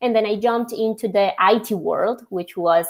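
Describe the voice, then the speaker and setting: A woman with a Spanish accent speaks at medium pitch with ordinary pitch variation. The recording is very clean and the background silent. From Colombia. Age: young. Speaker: logistics software executive. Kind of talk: podcast interview.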